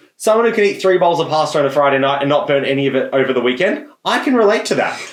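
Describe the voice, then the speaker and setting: A man talks very fast in an Australian accent, his fairly high voice full of lively intonation. His loudness stays very even. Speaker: podcast co-host. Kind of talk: casual chat.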